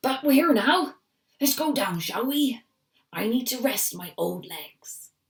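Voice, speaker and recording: A raspy, high-pitched put-on character voice at a fairly slow pace. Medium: read story.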